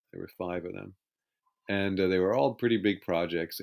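The recording is very clean, its background silent. A man's voice sits very deep and low in pitch. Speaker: author of film making-of books. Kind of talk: interview.

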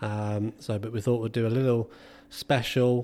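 A man's dark, mellow voice in an English accent, medium in pitch, at a moderate pace with monotone, flat intonation. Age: 30s. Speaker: podcast host, football physio. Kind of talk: casual chat.

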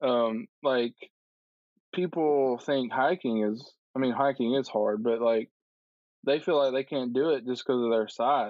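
A man with a Southern US accent talks fairly slowly, leaving long, frequent pauses. His medium pitch varies in an ordinary way, and his loudness stays very even. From Alabama, Tuscaloosa. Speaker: climber and social worker. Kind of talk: casual interview chat.

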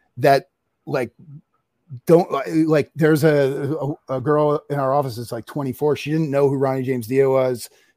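With an American accent, a man with an unremarkable speaking voice talks at a fairly high pitch with fairly even intonation. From US Northeast, North Jersey. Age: 50s. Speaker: documentary filmmaker. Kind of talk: casual interview chat.

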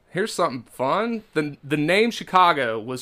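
A man with a slight Kentucky accent speaks at a moderate pace in a bright, sharp tone. The recording is very clean, with a silent background. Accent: mild Southern US (Kentucky). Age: 30s. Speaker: podcast host. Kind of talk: casual comedic chat. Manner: animated.

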